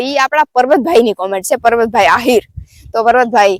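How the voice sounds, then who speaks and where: Her pitch swings very widely as a woman speaks, the sound dry and close with no echo. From Porbandar district, Saurashtra, Gujarat. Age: 20s. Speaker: village vlogger with cattle. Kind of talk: casual Q&A vlog.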